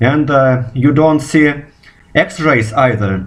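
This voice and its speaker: A man talks at a fairly slow pace in a Russian accent. His pitch is medium, with ordinary variation. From Russia, Moscow. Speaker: physicist. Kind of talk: video response monologue. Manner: halting, repeats words.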